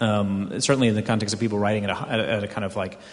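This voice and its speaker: Over noticeable background noise, someone with an American accent speaks at a very fast pace. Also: man. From US South, Houston, Texas. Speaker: wine magazine editor. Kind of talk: panel discussion.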